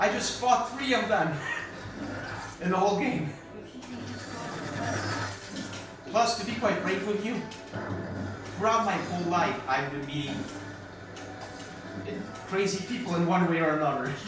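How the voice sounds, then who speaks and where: Amid audible room echo and clear music in the background, a man talks with long, frequent pauses. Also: moderate pace. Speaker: gameplay commentator. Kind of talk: casual gaming commentary. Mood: amused, chatty.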